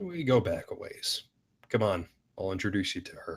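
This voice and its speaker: Using a put-on character voice with a raspy edge, the man talks at a moderate speed. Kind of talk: hard-boiled voice-over. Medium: stage play. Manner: laconic, dry.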